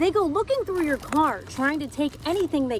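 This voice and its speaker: With an American accent and a high pitch, a woman speaks in a lively, varied tone over noticeable background noise. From Midwest United States. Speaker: TV news reporter and anchor. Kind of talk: TV news anchor read.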